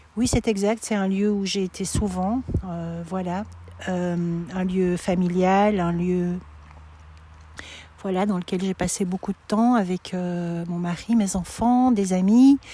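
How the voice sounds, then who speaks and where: A woman's somewhat breathy, dark, mellow voice at a medium pitch, fairly even in intonation, very slow with long, frequent pauses, on a very clean recording with a silent background. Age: 60s. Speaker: pilgrim sharing her walk. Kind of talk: testimony interview. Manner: halting, many hesitations.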